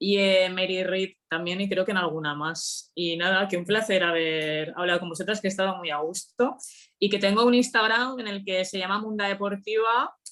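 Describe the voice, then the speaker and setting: A normal speaking voice varies its pitch in an ordinary way. It keeps a moderate speed. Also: woman, medium pitch for a woman. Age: 30s. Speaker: author. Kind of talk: book talk Q&A. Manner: casual.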